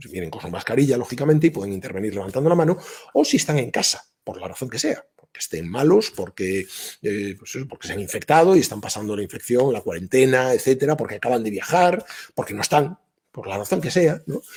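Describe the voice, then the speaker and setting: Words pour out of a man at a very fast pace. His pitch swings very widely from moment to moment. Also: medium pitch for a man, big swings in loudness. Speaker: business school professor giving a talk. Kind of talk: online workshop talk. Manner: conversational with many fillers.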